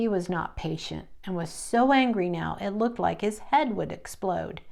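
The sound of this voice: An unforced reading voice that carries a lively intonation.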